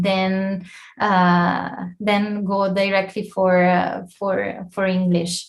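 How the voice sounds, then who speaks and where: A woman with an Italian accent, somewhat breathy and very slow, with audible room echo. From Italy. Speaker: scientific editor, guest lecturer. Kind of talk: lecture Q&A. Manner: halting.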